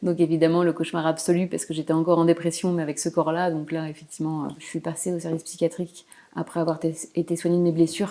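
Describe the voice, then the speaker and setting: A woman with a Parisian accent, fairly low pitch, a dark, mellow tone and a very fast pace. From Paris region, France. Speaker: painter. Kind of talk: interview. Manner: hesitant.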